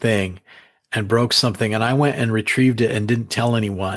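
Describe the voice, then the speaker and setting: Against a quiet background, a man with an unremarkable speaking voice talks at medium pitch with ordinary pitch variation. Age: 60s. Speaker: author. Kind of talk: interview.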